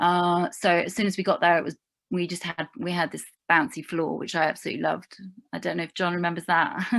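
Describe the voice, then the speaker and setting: Talking at a very fast pace, a woman uses a fairly low pitch with vocal fry, on a very clean recording with a silent background. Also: ordinary pitch variation. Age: 50s. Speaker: theatre performer and alumnus. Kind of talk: panel discussion.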